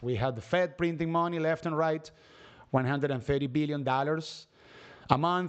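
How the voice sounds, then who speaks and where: A man speaks with a non-native accent. His pitch is fairly high. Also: quiet background. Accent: noticeable non-native. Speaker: stock market streamer. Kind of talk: live stream market commentary. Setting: live stream.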